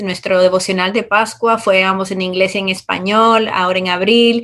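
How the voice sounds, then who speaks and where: Flat, monotone intonation from a woman, moderately paced. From Dominican Republic. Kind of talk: interview.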